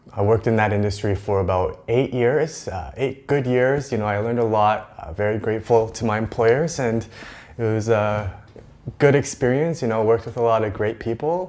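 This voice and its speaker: This man speaks at a medium pitch with a Western Canadian accent. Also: ordinary pitch variation, moderate pace. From Vancouver area, British Columbia, Canada. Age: 30s. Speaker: vlogger. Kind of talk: casual vlog monologue. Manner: hesitant, many fillers.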